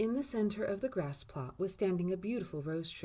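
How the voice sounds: The speaker uses a natural reading voice. It is heard throughout the clip.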